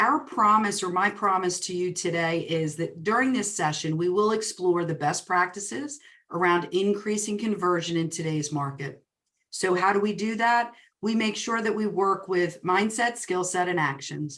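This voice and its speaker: A woman speaks with a New Jersey accent at a medium pitch. Her pace is moderate and her pitch variation ordinary. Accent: New Jersey twang. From New Jersey, greater Princeton area. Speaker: real estate coach and speaker. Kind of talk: webinar presentation. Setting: online webinar. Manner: animated.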